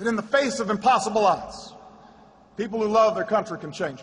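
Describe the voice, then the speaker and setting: Over noticeable background noise, a man with an American accent speaks in a raised, projected voice, high in pitch, at a moderate pace with ordinary pitch variation. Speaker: US president. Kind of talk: public commemoration speech. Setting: outdoors. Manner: impassioned.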